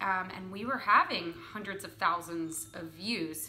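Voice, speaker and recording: Noticeable background noise accompanies a woman with an American accent who speaks very slowly at medium pitch. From Philadelphia. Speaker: host, actor and sketch comedian. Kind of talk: interview answer.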